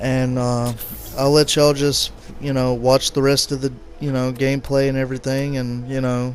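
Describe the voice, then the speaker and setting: A man's medium-pitched, monotone voice with flat intonation at a moderate pace, over noticeable background noise. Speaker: gaming YouTuber. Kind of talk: game review with gameplay commentary. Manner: halting, many fillers and stutters.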